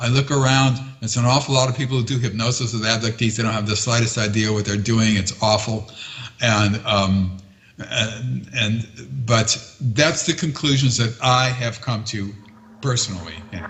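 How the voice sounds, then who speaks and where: With an American accent, a man talks at a medium pitch and moderate pace, his intonation fairly even, over noticeable background noise. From United States. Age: 70s. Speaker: retired history professor and UFO abduction researcher. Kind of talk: interview answers. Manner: halting, many fillers and repetitions.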